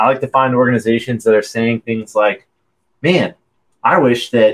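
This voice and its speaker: A man talks fairly quickly in a medium register, with an unremarkable speaking voice. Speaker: podcast host and cold calling consultant. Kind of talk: podcast interview with live cold calls. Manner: upbeat, playful.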